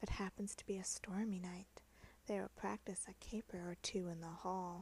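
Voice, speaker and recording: The speaker is whispering and soft-spoken. The pace is fairly slow. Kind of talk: soft-spoken poetry reading for relaxation. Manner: soft-spoken, whispered.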